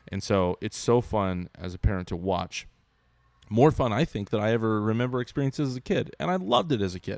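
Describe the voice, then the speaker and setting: A man with a fairly low pitch uses a normal speaking voice, talking fairly quickly with lively intonation, in a very clean recording with a silent background and a dry, close sound with no echo. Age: 30s. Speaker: podcast host. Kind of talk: casual chat.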